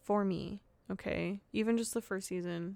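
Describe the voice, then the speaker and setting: Fairly even intonation with a slight Southern US accent. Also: woman. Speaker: podcast host. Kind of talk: casual monologue. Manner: casual, filler-heavy.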